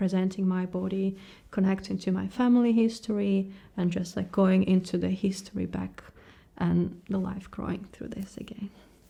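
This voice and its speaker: A woman speaks at a moderate pace and medium pitch, with a dark, mellow tone. Her voice is somewhat breathy, with monotone, flat intonation. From Ukraine. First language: Ukrainian or Russian. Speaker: tattoo artist. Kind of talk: interview. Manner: halting.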